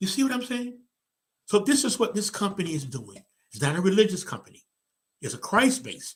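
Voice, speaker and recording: A man speaks at a very fast pace in an animated tone, his pitch swinging very widely. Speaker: motivational speaker and show host. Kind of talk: motivational talk, live stream. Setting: live stream with online comments.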